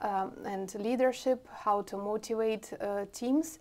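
At a very slow pace, the speaker uses a Russian accent, a dark, mellow tone and ordinary pitch variation. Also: woman. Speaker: IT product owner; interviewee. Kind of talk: interview. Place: meeting room.

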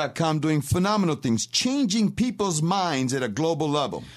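A man with a New York accent, fairly high pitch and lively intonation, at a moderate pace over a quiet background. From Rochester, New York. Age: 50s. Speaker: radio host. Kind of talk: radio talk show. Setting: studio.

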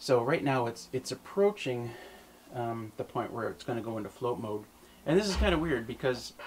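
A man speaks with lively intonation, light noise audible behind him. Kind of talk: tutorial. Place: home room.

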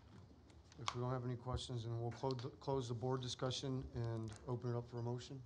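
A man talks at a fairly quick pace with fairly even intonation and a somewhat breathy voice. Noticeable background noise is present. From South Texas. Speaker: board chairman. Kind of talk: public meeting procedure. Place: meeting room. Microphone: podium.

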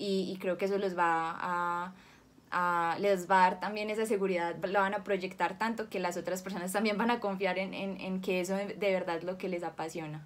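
A woman speaks at a moderate pace in a monotone, flat intonation. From Colombia, Cali; raised in Medellín from 13; Colombia. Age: 20s. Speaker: actress; actress interviewee. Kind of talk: interview; interview answer. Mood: warm, smiling. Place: home room.

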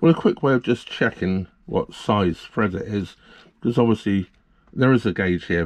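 A man speaks at a moderate pace with a fairly low pitch. His pitch varies in an ordinary way. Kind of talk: tutorial. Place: home room.

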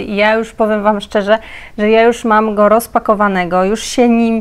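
At a moderate pace, a woman speaks. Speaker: mother vlogger. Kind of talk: casual vlog chat, product haul. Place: home room.

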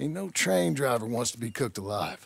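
This put-on character voice carries vocal fry and a slightly husky edge. It moves at a moderate pace with big pitch swings. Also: man, medium pitch for a man.

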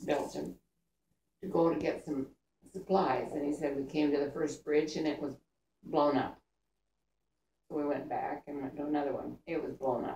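A woman speaks at a moderate pace with a very deep, low pitch and a dark, mellow tone. Vocal fry comes through, and audible room echo surrounds her voice. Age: 80s+. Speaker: grandmother telling war stories. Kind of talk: storytelling to family. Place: home room. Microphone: camera far.

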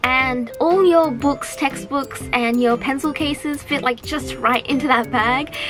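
A woman with a high voice talks at a fairly slow pace, barely pausing at all. Her pitch varies in an ordinary way, and there is noticeable background noise. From Australia. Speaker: voice actress. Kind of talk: casual talk to camera. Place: home room.

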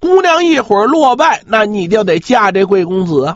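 A man's voice with very wide pitch swings. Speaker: traditional Chinese storyteller (pingshu performer). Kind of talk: traditional oral storytelling of a martial-arts novel. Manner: humorous.

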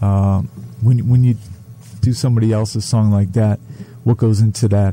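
Flat, monotone speech from a man, with noticeable noise behind it. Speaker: radio host. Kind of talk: casual interview. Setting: studio.

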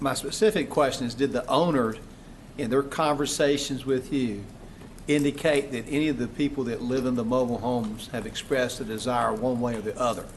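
Fairly quick speech from a man at medium pitch, with audible room echo. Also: ordinary pitch variation. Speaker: city council member. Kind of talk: council meeting questioning. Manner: loud.

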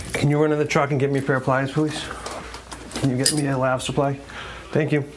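Against noticeable background noise, a man with an American accent talks at a very fast pace in a fairly high pitch, with monotone, flat intonation and very even loudness. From Boston area. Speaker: licensed plumber. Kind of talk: casual talk to camera.

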